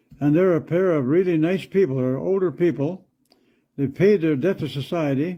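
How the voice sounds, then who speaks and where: This man talks at a fairly quick pace with lively intonation. His voice is fairly high-pitched and has a dark, mellow tone. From Canada. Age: 80s+. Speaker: farmer. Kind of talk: political speech to camera.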